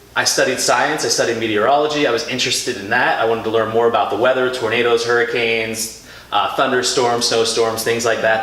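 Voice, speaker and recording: Speaking at a very fast pace, a man with an American accent is heard over noticeable background noise and audible room echo. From Philadelphia area. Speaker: TV meteorologist. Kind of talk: interview. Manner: loud; animated.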